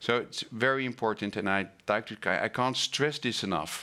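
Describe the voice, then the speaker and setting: A man with a non-native accent speaks in a bright, sharp tone. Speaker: event host. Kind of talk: live online talk introduction. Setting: online webinar studio. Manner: hesitant, many fillers.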